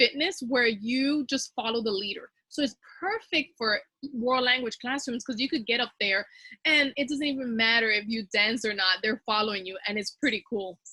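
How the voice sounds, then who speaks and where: A woman with a Spanish accent speaks in a fairly high pitch with a bright, sharp tone, recorded dry and close with no echo. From Dominican Republic. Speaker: teacher. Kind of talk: teacher training presentation.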